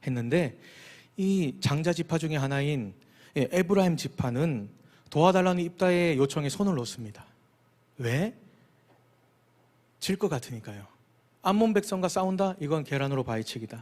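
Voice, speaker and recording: A man's fairly high, lively voice at a moderate pace with long, frequent pauses, in a very clean recording with a silent background. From Busan, South Korea. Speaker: pastor. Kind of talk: sermon. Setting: church.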